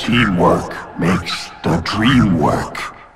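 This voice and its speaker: A man's put-on character voice, raspy and very deep, over clear music in the background. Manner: halting.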